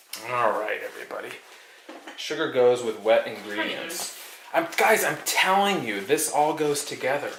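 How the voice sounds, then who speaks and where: Amid noticeable background noise and audible room echo, a man with a fairly high pitch speaks at a moderate pace with lively intonation. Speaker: arcade channel host baking on livestream. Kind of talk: casual live-stream chat while baking. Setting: at home in kitchen, live stream. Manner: loud.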